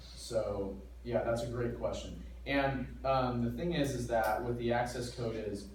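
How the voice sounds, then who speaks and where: Noticeable background noise and audible room echo fill the recording. The speaker is a man. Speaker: math instructor. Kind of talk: classroom lecture. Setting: classroom with students.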